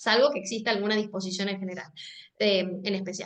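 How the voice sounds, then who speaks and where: A woman's voice with a bright, sharp tone. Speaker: legal department staff giving training. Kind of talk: training lecture. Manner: hesitant, repeats words.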